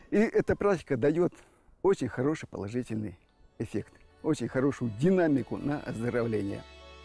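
Over music in the background, a man speaks with long, frequent pauses in a dry, close sound with no echo. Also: medium pitch for a man, lively intonation, moderate pace. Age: 60s. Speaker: retiree, healthy lifestyle enthusiast, self-healing program author. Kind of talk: interview answer.

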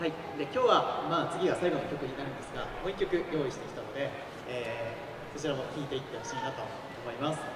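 A man speaks at a very fast pace with ordinary pitch variation. Loud background noise and audible room echo fill the recording. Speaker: band MC. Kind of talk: stage MC talk. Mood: polite, slightly nervous.

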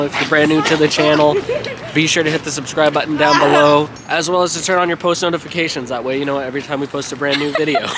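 A woman with very deep, low pitch, a very fast pace and monotone, flat intonation, dry sound with no echo, noticeable background noise. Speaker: vlogger. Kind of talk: casual vlog chat. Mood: cheerful, full after dinner. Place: street. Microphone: phone near.

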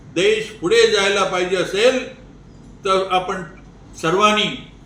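A man projects his high-pitched voice loudly over noticeable background noise. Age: 90s. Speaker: elderly advocate and veteran of the independence movement. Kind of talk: interview answer.

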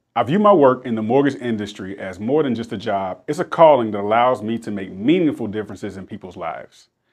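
A man speaks with an American accent at a fairly quick pace. His intonation is lively. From South Carolina, Rock Hill; South Carolina. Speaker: loan officer. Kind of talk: scripted self-introduction. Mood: warm, sincere.

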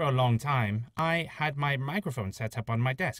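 A man speaks with lively intonation and a somewhat breathy voice. The sound is dry with no echo, against a quiet background. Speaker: hobby voice actor. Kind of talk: casual update narration. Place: booth. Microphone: studio mic.

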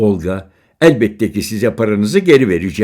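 Lively intonation colors the words spoken in an unforced reading voice.

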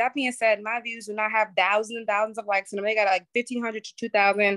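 A woman with a New York accent, talking at a fairly quick pace against a quiet background. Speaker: social media business coach. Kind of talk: webinar presentation. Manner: fast. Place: home room. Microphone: phone near.

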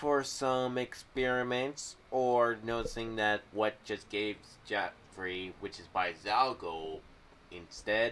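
At a slow pace, a man speaks with a fairly low pitch, fairly bright tone and fairly even intonation.

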